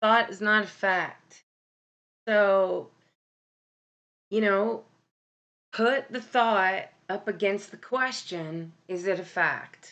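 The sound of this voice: A woman talks at a slow pace, with long, frequent pauses. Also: medium pitch for a woman, ordinary pitch variation, fairly bright tone.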